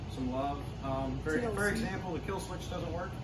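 Speech at a moderate pace comes through over loud background noise. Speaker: teen garage vlogger. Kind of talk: casual vlog chat. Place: garage. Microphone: camera far.

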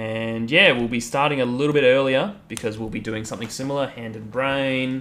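Speaking at a fairly quick pace with hardly any pauses, a man with an Australian accent uses a bright, sharp tone, medium pitch, ordinary pitch variation, and big swings in loudness. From rural Australia, outback. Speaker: chess streamer. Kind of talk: casual live stream chat. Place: home room. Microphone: headset.

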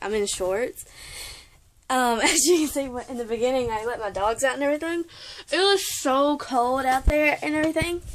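Her pitch is high and her intonation lively as a woman talks at a moderate pace. Light background noise can be heard. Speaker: vlogger. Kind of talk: casual vlog chat. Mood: giggly, playful. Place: home room. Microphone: phone near.

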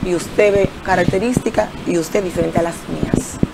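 A woman's voice over noticeable background noise. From Dominican Republic, Santiago (Jacagua); Dominican Republic. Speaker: local political candidate; candidate. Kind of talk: TV interview. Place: studio. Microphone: lapel.

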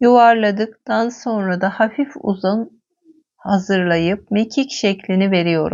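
Her pace is very slow. The woman's medium pitch shows ordinary variation. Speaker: cooking video host. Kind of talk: cooking tutorial.

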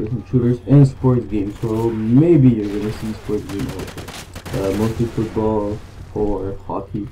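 Over noticeable background noise, a man with a French Canadian accent speaks fairly slowly, with a fairly low pitch and fairly even intonation. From Canada. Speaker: gamer. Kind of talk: gameplay commentary. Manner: hesitant, many fillers.

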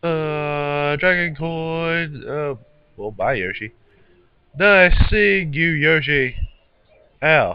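A man talks at a very slow pace with long, frequent pauses. His pitch is fairly high and varies in an ordinary way. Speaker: gaming youtuber. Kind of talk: let's play commentary. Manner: animated; halting.

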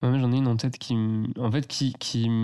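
A man with an ordinary speaking voice, medium in pitch, at a moderate pace with fairly even intonation, against a quiet background. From France, Loire valley near Tours. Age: 20s. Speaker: eco entrepreneur and designer. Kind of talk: casual interview. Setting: host's living room.

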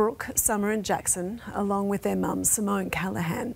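A woman with an Australian accent. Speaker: news presenter. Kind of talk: TV news read. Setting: studio.

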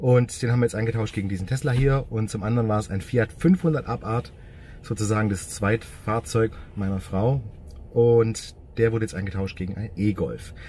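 A man speaks at a moderate pace in a somewhat breathy voice with ordinary pitch variation. The sound is dry with no echo, and there is light background noise. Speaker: car vlogger. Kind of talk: casual vlog chat. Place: car. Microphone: phone near.

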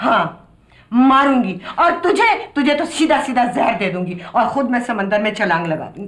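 Audible room echo surrounds a woman's high voice. She speaks at a fairly slow pace. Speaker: drama actress playing mother. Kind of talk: scripted drama dialogue. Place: home room.

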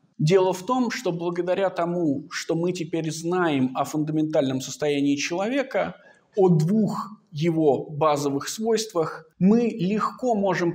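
A high-pitched man at a fairly slow pace with lively intonation. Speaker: philosophy researcher. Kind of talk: academic seminar talk. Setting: seminar. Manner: unhurried, measured; formal.

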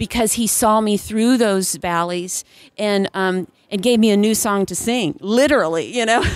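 A woman's fairly high pitch at a moderate pace, an ordinary speaking voice with ordinary pitch variation. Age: 40s. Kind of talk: casual interview. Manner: laughs often.

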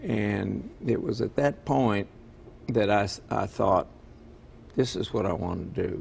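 Over light background noise, a man with a fairly low pitch and vocal fry speaks at a very slow pace, leaving long, frequent pauses. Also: ordinary pitch variation. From military family, moved around; grew up largely in Kentucky. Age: 70s. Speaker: retiring county prosecutor; interview guest. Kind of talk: TV interview. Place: studio.

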